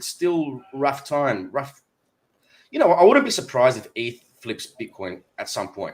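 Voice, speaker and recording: A man speaks at a fairly high pitch. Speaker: crypto live stream host. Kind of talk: live stream discussion. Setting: online live stream.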